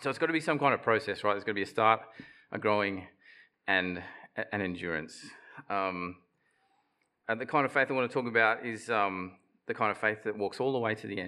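A man with an Australian accent and a bright, sharp tone speaks very fast, fairly low for a man, with ordinary pitch variation and long, frequent pauses. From Australia, Queensland (Bundaberg). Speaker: preacher. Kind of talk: sermon. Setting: church platform with audience. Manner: halting, repeats words.

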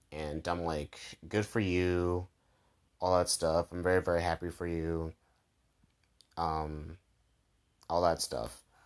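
Speaking very slowly with long, frequent pauses, a man with a very deep, low pitch keeps a monotone, flat intonation in a very clean recording with a silent background. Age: 20s. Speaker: podcast host. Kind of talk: casual monologue. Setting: in bed at night. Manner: casual, filler-heavy.

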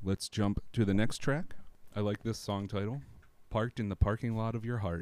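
A man with an ordinary speaking voice talks at a moderate pace and fairly low pitch, his intonation fairly even. The recording is very clean with a silent background and a dry, close sound with no echo. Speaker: music podcast co-host. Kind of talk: casual chat.

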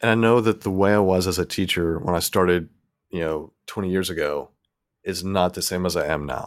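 With a Southern US accent, a man speaks in a very deep, low voice with ordinary pitch variation. The recording is very clean, with a silent background. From US South. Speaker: podcaster. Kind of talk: casual chat.

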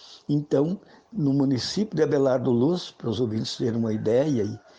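The voice is a man's, dark and mellow in tone. Pitch sits at a medium level, and the intonation is lively. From Brazil, western Santa Catarina (Xanxerê). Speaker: rural social movement leader. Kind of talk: radio interview. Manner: hesitant, repeats words.

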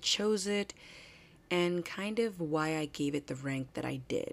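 Her pace is fairly slow. The woman's intonation stays lively throughout. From New Jersey. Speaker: college radio host. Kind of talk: casual radio talk show.

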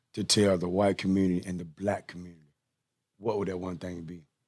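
A man with a Southern US accent and a very deep, low pitch is heard on a very clean recording with a silent background. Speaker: podcast host. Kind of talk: casual interview chat. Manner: animated.

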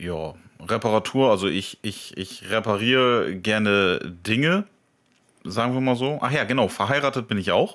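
At a fairly slow pace, a man with an unremarkable speaking voice and ordinary pitch variation is heard in a very clean recording with a silent background. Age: 30s. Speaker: podcast co-host. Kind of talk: casual chat.

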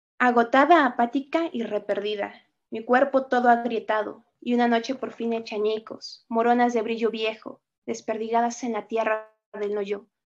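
A woman speaks in a Mexican accent at a fairly high pitch and a moderate pace. Her intonation stays fairly even. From Mexico. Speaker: poet and writer, teacher. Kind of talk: interview answers, with a poem reading. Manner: reflective, with frequent filler words.

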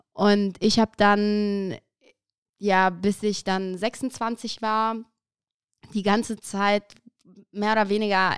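A woman's medium-pitched voice, dry and close with no echo, on a very clean recording against a silent background. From Aachen, Germany. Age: 30s. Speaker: podcaster. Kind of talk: casual interview.

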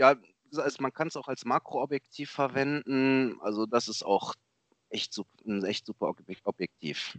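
A man with an ordinary speaking voice at medium pitch and moderate pace, ordinary pitch variation, and a dry, close sound with no echo. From Germany, Lower Rhine region. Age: 30s. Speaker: amateur photographer. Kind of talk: casual interview.

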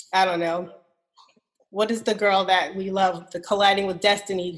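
A woman speaks at a medium pitch and a moderate pace. Her intonation is monotone and flat. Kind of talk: casual chat.

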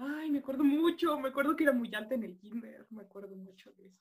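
The speaker is a woman with a high voice. Her intonation sounds lively. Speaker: student. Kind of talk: casual chat. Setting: video call.

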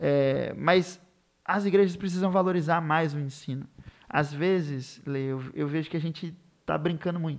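A man with a normal speaking voice talks at a moderate pace, fairly high in pitch and with fairly even intonation. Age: 20s. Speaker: literature teacher. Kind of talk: casual chat.

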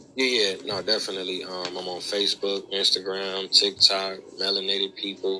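Over noticeable background noise, a man with an American accent speaks at a moderate pace in a fairly low, monotone, flat voice. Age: 30s. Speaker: author and historian. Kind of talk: podcast interview.

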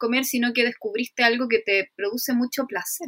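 In a Chilean accent, a woman with a high pitch talks at a fairly quick pace, the sound dry and close with no echo. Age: 30s. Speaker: illustrator and ceramicist. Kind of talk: casual chat.

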